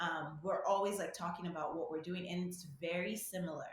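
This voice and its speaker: A woman speaks at a moderate pace. Her fairly low voice is somewhat breathy. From Nigeria. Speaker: medical student. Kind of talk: casual interview.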